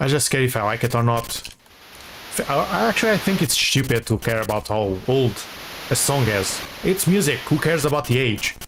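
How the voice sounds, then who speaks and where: A man with a non-native accent talks at a fairly quick pace with lively intonation and very even loudness, noticeable background noise behind him. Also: medium pitch for a man. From small non-English-speaking country. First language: not English. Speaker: gaming streamer. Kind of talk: casual gameplay commentary. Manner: halting, frequent repetitions.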